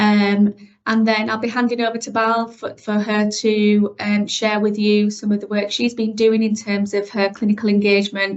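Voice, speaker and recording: A woman talks with hardly any pauses. Her fairly high voice stays flat and monotone. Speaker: mental health service manager. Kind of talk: workshop presentation. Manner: fast; hesitant with frequent fillers.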